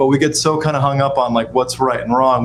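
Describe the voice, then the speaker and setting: With noticeable background noise behind him, a man talks at a very fast pace, his medium-pitched voice carrying fairly even intonation. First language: Spanish. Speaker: podcast host. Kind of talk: casual chat.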